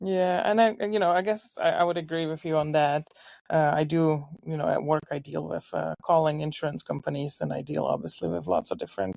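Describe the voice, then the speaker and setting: A woman speaks with a Czech accent. Her pace is fairly quick. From Czech Republic, Ostrava. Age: 50s. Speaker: home baker. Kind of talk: casual interview.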